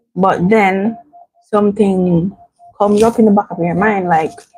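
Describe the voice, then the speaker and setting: A woman speaks at a medium pitch with music in the background. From Jamaica. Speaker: vlogger. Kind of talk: casual livestream chat. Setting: at home. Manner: soft-spoken.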